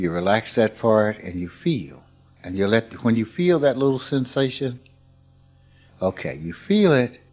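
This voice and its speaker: A man with a Mississippi accent speaks at a fairly slow pace and a medium pitch, his voice making very wide pitch swings. Long pauses come often. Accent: Southern US, Mississippi. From US South. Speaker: spiritual teacher. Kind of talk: informal spiritual talk.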